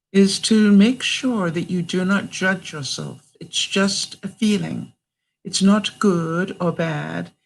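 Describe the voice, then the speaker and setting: With a Canadian accent, a somewhat breathy woman speaks very slowly at a medium pitch with ordinary pitch variation. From Canada. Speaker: vlogger. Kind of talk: live stream talk to viewers. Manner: warm, supportive.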